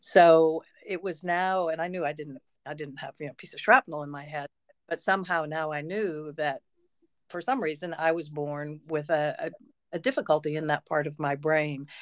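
A woman with a Canadian accent speaks at a moderate pace in a very deep, low pitch with ordinary pitch variation and big swings in loudness. The recording is very clean and dry, close with no echo, over a silent background. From Canada, Peterborough, Ontario. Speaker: educator and author. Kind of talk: interview. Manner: halting.

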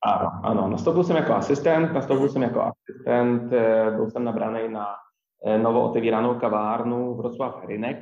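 Someone with a Polish accent speaks at a moderate pace with fairly even intonation, and audible room echo surrounds the voice. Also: man. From Poland, near Wrocław. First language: Polish (speaking Czech). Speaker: coffee chain manager. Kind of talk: interview. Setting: remote recording. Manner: halting, many repetitions.

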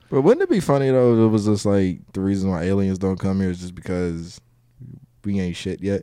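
Dark and mellow in tone, a man talks at a fairly quick pace. His pitch sits fairly low. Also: ordinary pitch variation. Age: 20s. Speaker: comedian. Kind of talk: casual chat.

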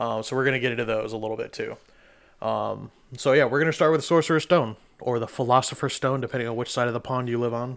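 A man with a medium-pitched voice talks at a very fast pace, his intonation fairly even. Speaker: podcast host. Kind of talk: casual chat. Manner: joking, profane.

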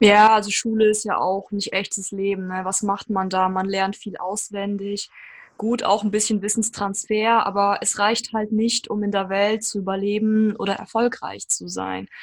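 Her voice is medium-pitched, and the woman speaks with monotone, flat intonation. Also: moderate pace. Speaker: podcast host. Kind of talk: podcast interview. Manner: talkative.

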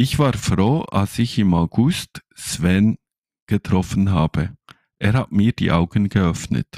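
Speech in a Swiss German accent comes at a very slow pace. The recording is very clean, with a silent background. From Switzerland. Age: 30s. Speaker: podcast co-host, network marketer. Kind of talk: sales pitch.

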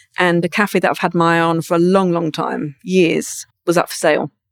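A woman with a southern English accent speaks at a moderate pace and fairly low pitch, in a dry, close sound with no echo on a very clean recording with a silent background. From England, Brighton. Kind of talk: interview. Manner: raw, candid delivery.

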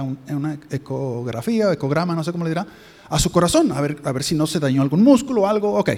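A man's fairly high voice runs at a fairly quick pace, his intonation lively, with noticeable background noise behind him. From Mexico. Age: 50s. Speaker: visiting pastor. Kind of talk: sermon. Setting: church.

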